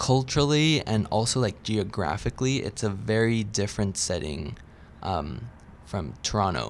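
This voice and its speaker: A man with a fairly low pitch talks at a moderate pace. His intonation is lively, and there's vocal fry in his voice. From Ecuador, Quito. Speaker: university student. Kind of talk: interview.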